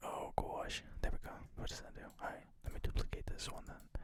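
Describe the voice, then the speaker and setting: Someone whispers at a fairly quick pace. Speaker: ASMR creator, graphic designer. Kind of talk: ASMR design session narration. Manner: whispered, quiet.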